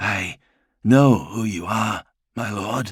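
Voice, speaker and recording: A man uses a put-on character voice. It is raspy and medium in pitch. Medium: read story. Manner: timid, respectful.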